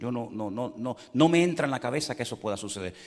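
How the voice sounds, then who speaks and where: A man with an ordinary speaking voice at medium pitch talks at a fairly quick pace with lively intonation. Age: 60s. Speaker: pastor. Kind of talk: sermon.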